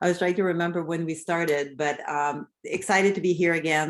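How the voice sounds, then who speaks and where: This is a woman speaking. She has a French Canadian accent. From Quebec, Canada. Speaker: real estate agent. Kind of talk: online seminar.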